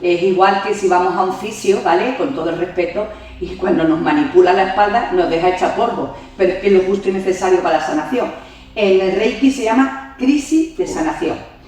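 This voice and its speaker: A woman talks at a fairly quick pace and medium pitch with lively intonation. Audible room echo and noticeable background noise surround her. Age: 60s. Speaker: yoga teacher and reiki master. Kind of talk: interview conversation.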